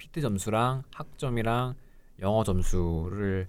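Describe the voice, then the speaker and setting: A man speaks very slowly at a fairly low pitch with ordinary pitch variation, on a very clean recording with a silent background. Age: 20s. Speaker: pharmacy school applicant, student. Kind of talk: casual chat.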